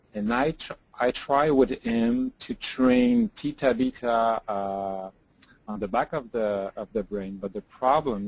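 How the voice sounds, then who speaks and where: Recorded with a dry, close sound and no echo, a man with a French accent speaks at a fairly slow pace in a medium pitch. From France or French-speaking region. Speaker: rehab hospital clinician. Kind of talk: clinical case consultation. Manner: halting, many hesitations.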